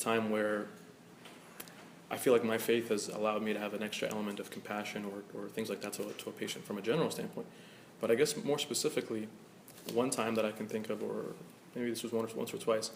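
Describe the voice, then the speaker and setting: Very fast speech from a man, fairly low in pitch and fairly even in intonation, broken by long, frequent pauses amid noticeable background noise. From Egypt. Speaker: physician. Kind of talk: panel discussion.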